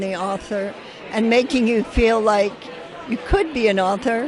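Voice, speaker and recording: Noticeable background noise under a woman's fairly high voice with ordinary pitch variation. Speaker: performance poet. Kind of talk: interview answer.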